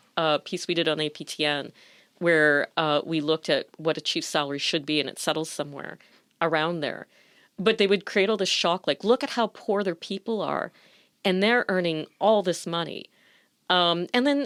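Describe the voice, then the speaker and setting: In an ordinary speaking voice, a woman talks at a moderate pace and a fairly low pitch with lively intonation, the sound dry and close with no echo on a very clean recording with a silent background. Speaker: broadcast journalist. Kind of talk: interview conversation.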